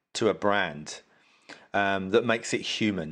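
A man with an unremarkable speaking voice talks at a fairly low pitch and fairly slow pace against a quiet background. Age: 50s. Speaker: influencer marketing specialist. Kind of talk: casual interview.

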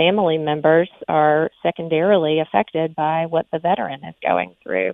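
With an American accent, a woman speaks at a moderate pace with a very deep, low pitch, ordinary pitch variation and hardly any pauses. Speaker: army veteran and counselor. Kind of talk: interview.

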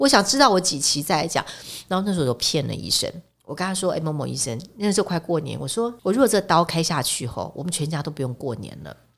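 The speaker talks at a very fast pace with an animated tone, very wide pitch swings and vocal fry. Loudness swings a lot too. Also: woman, fairly low pitch for a woman. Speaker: edible oil expert and author. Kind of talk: casual interview. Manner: animated, laughing often.

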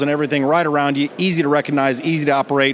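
Noticeable background noise sits behind the speaker. A man talks with fairly even intonation. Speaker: sales and marketing manager. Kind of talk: interview. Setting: trade show floor.

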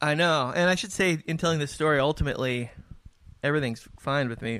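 At a moderate pace, a man with an American accent and a fairly high voice speaks with ordinary pitch variation in a dry, close sound with no echo, on a very clean recording with a silent background. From US West Coast, San Diego. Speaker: musician. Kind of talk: casual chat.

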